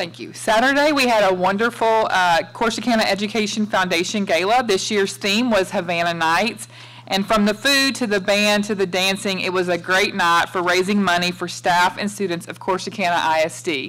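The pace of this woman's speech is moderate. Ordinary variation marks her pitch. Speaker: superintendent giving report. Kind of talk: formal report announcements. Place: meeting room. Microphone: podium.

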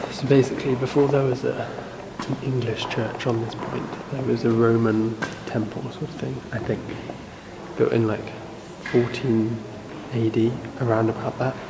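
Long, frequent pauses break up a man's speech over noticeable background noise. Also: moderate pace. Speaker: travel vlogger. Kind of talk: casual vlog chat. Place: church. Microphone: phone near.

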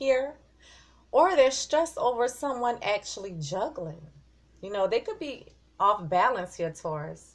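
Speaking at a fairly slow pace, a woman uses a high pitch with very wide pitch swings. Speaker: tarot reader. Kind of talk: tarot reading commentary. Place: home room.

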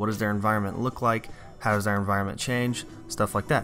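A man speaking very fast with fairly even intonation over music in the background. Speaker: science teacher. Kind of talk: lecture.

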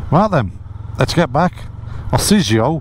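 Very wide pitch swings from a man, light background noise behind him. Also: dry sound with no echo. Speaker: motorcycle vlogger. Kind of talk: casual vlog chat. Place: motorbike. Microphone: helmet.

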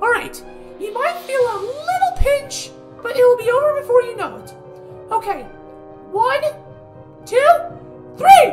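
Over faint music in the background, a woman uses a cartoonish character voice at an extremely high pitch with big pitch swings and a fairly slow pace.

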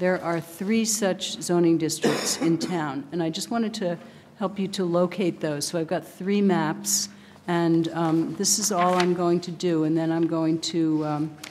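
A woman with a fairly low pitch talks at a fairly slow pace with fairly even intonation. It is an unremarkable speaking voice, with light background noise. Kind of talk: meeting presentation. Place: hall. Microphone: podium.

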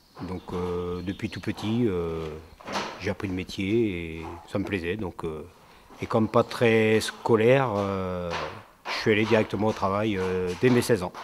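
A man speaks at a very slow pace with long, frequent pauses. His fairly low voice keeps a fairly even intonation over noticeable background noise. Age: 40s. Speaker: self-employed mason. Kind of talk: interview testimony. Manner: hesitant, many fillers. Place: home room.

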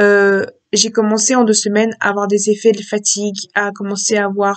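The intonation is monotone and flat. The pace is fairly quick.

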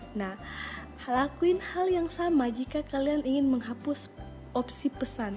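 Music plays in the background as a woman speaks at a fairly slow pace in a high pitch. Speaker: mobile game tutorial creator. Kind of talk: tutorial voice-over. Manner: casual, friendly.

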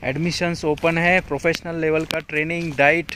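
A man speaks fairly slowly in a flat monotone, and the sound is dry with no echo over light background noise. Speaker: running coach. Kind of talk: casual vlog chat. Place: open country. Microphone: phone near.

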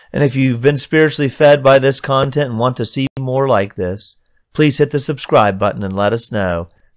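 This is a man with an unremarkable speaking voice at medium pitch. He talks at a moderate pace with ordinary pitch variation. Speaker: poet and video channel host. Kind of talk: casual video intro and outro. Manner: warm, upbeat, welcoming.

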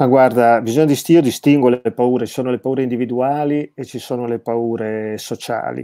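Over a quiet background, a man speaks at a moderate pace with hardly any pauses. His dark, mellow voice has monotone, flat intonation. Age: 50s. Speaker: theologian and philosopher, author; interview guest. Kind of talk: interview about his book. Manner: frequent hesitations and word repetitions. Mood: reflective, thoughtful. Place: home room.

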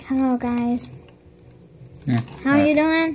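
Putting on a squeaky, high-pitched character voice, a woman speaks at a fairly slow pace with fairly even intonation. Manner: comical, funny voice.

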